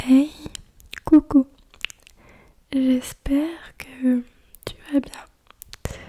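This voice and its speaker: A soft-spoken woman whispers, with big swings in loudness. She leaves long, frequent pauses. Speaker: ASMR creator. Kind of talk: ASMR soft spoken talk to camera. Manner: soft-spoken, whispery, relaxing.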